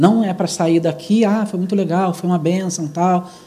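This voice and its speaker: Audible room echo surrounds a man speaking at a moderate pace in a high voice with a dark, mellow tone. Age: 40s. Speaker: church speaker. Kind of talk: church talk on youth.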